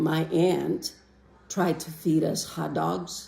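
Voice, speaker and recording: A woman speaks with a Greek accent. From Greece. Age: 60s. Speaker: interviewee, immigrant. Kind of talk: interview testimony.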